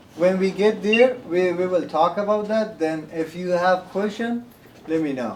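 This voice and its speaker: A man with a non-native accent speaks at a high pitch and a fairly slow pace, with ordinary pitch variation. Background noise is noticeable. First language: not English. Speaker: workshop presenter, community center staff member. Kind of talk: workshop presentation. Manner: hesitant, many fillers.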